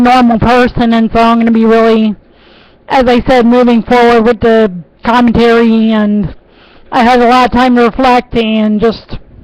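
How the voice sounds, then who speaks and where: A woman's fairly high voice in a monotone, flat intonation. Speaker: aspiring political commentator vlogger. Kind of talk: personal webcam vlog. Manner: halting, searching for words.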